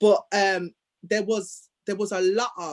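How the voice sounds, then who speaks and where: A woman speaks with a Birmingham accent. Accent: Birmingham (Brummie) English. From Birmingham, England. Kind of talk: personal storytelling in conversation.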